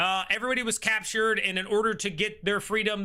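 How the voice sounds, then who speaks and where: Raised and projected, a man's voice carries a bright, sharp tone at a fairly quick pace. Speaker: streamer. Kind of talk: live stream chat. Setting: live stream. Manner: casual; mumbling when reading comments.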